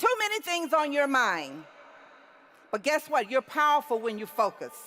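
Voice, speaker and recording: Projecting a raised, high voice, a woman speaks at a moderate pace with very wide pitch swings. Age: 60s. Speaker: convention speaker. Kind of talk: motivational speech.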